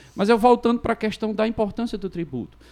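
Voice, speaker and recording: A man talking at a very fast pace. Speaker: lawyer. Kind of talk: casual chat.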